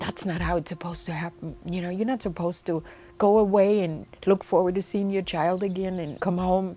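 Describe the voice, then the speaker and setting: A woman of medium pitch talks at a fairly quick pace. Her intonation is fairly even, and there is noticeable background noise. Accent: German. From Germany. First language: German. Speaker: bereaved mother and advocate. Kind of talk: personal testimony interview.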